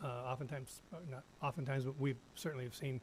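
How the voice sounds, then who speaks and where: A man at medium pitch, speaking at a very fast pace, somewhat breathy. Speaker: school district attorney. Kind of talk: policy presentation at board meeting. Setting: school board meeting. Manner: halting, many fillers.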